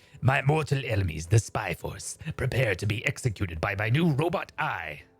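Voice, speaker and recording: Here a man performs a put-on character voice. His pitch is medium. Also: moderate pace. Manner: menacing, theatrical.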